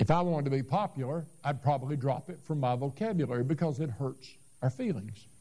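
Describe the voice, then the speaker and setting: Fairly quick and somewhat breathy, a man with an American accent speaks in a dark, mellow tone at a fairly high pitch with ordinary pitch variation. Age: 70s. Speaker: Baptist pastor. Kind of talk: sermon. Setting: church.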